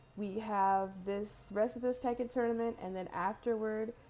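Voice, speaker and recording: A woman's dark, mellow tone, fairly slow, with ordinary pitch variation. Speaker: tournament organizer and stream runner. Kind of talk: casual stream chat. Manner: trying to speak loudly.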